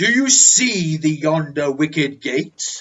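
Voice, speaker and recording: Putting on a character voice, a man speaks at a fairly slow pace with a fairly high pitch and lively intonation. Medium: read story. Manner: solemn, archaic.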